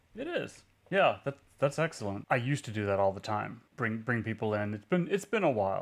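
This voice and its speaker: The recording is very clean, with a silent background. A man with an ordinary speaking voice talks at a fairly quick pace with lively intonation. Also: medium pitch for a man. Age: 50s. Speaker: podcast co-host, tabletop game reviewer. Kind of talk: casual chat.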